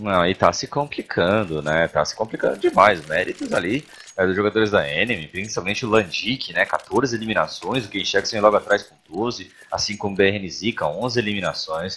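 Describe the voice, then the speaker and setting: A man with a Brazilian accent talks at a moderate pace and fairly low pitch with hardly any pauses, ordinary pitch variation and big swings in loudness, over noticeable background noise. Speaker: color commentator analyst. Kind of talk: analytical esports commentary.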